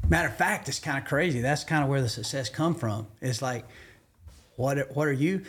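A man with a fairly high pitch and somewhat breathy voice speaks at a moderate pace in a Southern US accent with ordinary pitch variation, in a very clean recording with a silent background. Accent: Southern US (Georgia). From US South, rural Georgia. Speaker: hunting TV host. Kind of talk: casual chat. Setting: studio.

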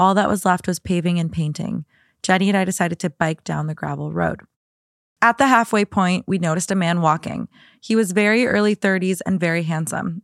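An unremarkable speaking voice belongs to a woman with an American accent who talks at a fairly quick pace with a fairly low pitch and ordinary pitch variation, the sound dry and close with no echo on a very clean recording with a silent background. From US Midwest, Minnesota. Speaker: podcast guest co-host. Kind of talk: casual chat.

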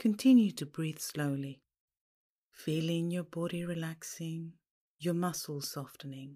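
In a dark, mellow, calm and soothing tone, the voice moves at a fairly slow pace on a very clean recording with a silent background. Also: woman, fairly low pitch for a woman, ordinary pitch variation. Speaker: podcast host and pathworking guide. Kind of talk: guided meditation, reading a pathworking aloud. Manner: slow, calm, soothing, gently paced with pauses; soft-spoken, hypnotic and reassuring.

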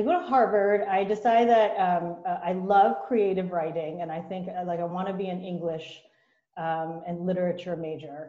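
With a medium pitch and ordinary pitch variation, a woman talks at a moderate pace. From Philippines, Manila; moved to US at 12. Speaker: beauty brand founder and CEO. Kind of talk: interview. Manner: frequent fillers and repetitions.

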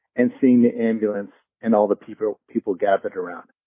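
A man with an American accent speaks at a moderate pace, with medium pitch and ordinary pitch variation. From US Northeast. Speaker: listener caller. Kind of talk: voicemail. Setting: phone call.

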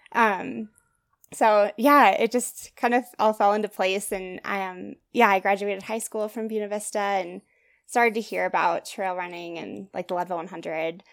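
A woman's medium-pitched, plain, everyday voice with an American accent, ordinary pitch variation and a moderate pace, on a very clean recording with a silent background. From US Midwest, Wisconsin. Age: 20s. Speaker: ultrarunner. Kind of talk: interview.

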